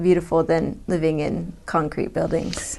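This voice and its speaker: A woman talks with an American accent. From US Midwest. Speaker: biologist. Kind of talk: interview.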